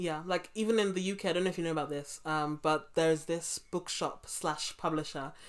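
A woman's fairly low voice in a London accent, fairly quick, with fairly even intonation. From England, London (Brixton). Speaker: podcast host. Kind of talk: interview. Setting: remote call.

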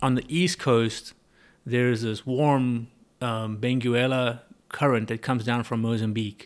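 Over a very clean recording with a silent background, a man with a South African accent speaks fairly slowly at a medium pitch, with fairly even intonation. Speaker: business owner and importer. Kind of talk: casual interview. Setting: in-person conversation.

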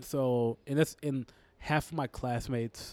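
In an American accent, a man with a medium pitch and a plain, everyday voice speaks with fairly even intonation, in a very clean, dry, close recording with no echo and a silent background. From Texas, Houston. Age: 20s. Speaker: comedian. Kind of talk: casual chat. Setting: pub.

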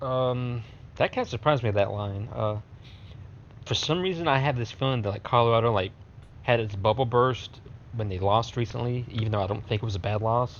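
A man speaks at a fairly quick pace in an unremarkable speaking voice. His pitch is medium, with ordinary variation. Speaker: podcast co-host. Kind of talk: casual chat.

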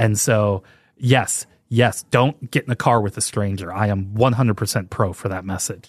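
The man has an ordinary speaking voice, fairly low in pitch. The sound is dry and close with no echo, over a quiet background. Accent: American. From US Midwest, St. Louis, Missouri. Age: 40s. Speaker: podcast host. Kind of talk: casual solo podcast monologue.

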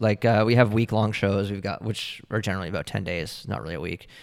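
A man with a Canadian accent speaks in a normal speaking voice, fairly low in pitch, with ordinary pitch variation and a fairly quick pace. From Ontario, Canada (Oakville). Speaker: art gallery owner. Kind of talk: interview.

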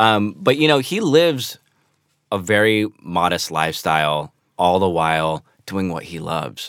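A man with a very deep, low pitch speaks in an American accent, with lively intonation at a moderate pace. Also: very clean recording, silent background. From Los Angeles, US West Coast. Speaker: rock musician. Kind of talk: interview. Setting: studio.

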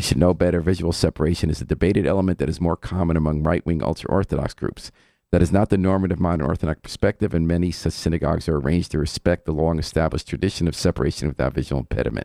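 A man's very deep, low, dark and mellow voice with vocal fry, a playful tone, ordinary pitch variation and a very fast pace, on a very clean, dry, close recording with no echo and a silent background. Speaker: radio host. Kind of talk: casual radio interview. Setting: radio studio. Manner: joking, playful.

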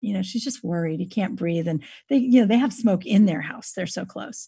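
A woman with an American accent, dark and mellow in tone, with vocal fry. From US West Coast, California (Napa Valley). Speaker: author and podcast host. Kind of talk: interview. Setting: video call from home.

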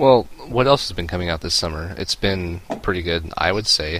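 With noticeable background noise behind him, the man delivers his words fairly quickly in a very deep, low voice. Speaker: gaming podcast co-host. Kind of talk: casual chat. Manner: grad student tone of voice.

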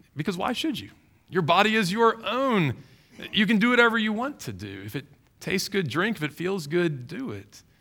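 Using a raised, projected voice in a Southern US accent, a man speaks at a moderate pace and a high pitch, with very wide pitch swings and big swings in loudness. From Louisiana, Baton Rouge. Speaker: pastor. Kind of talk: sermon.

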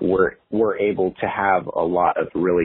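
A man speaks over noticeable background noise. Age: 20s. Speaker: automotive filmmaker and YouTuber. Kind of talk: casual interview chat.

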